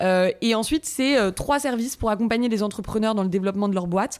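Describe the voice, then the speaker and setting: A woman's plain, everyday voice, fairly high in pitch. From Paris, France. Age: 30s. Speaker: marketing director. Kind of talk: interview.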